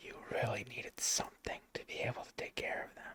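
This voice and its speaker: Whispering, a man speaks at a fairly slow pace. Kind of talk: casual ASMR talk to camera about a card collection. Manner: soft-spoken, whispered.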